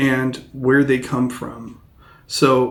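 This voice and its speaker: This man speaks at a medium pitch with an American accent. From US Pacific Northwest, Seattle. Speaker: English teacher. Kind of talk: educational explanation. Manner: halting, many fillers.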